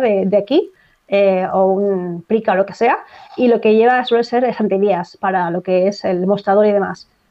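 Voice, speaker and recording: At a fairly slow pace, a woman with an unremarkable speaking voice keeps her intonation fairly even. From Spain, Barcelona (Catalonia). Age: 30s. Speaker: dancer. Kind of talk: casual chat.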